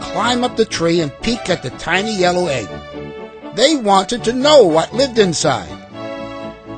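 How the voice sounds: Just a natural reading voice.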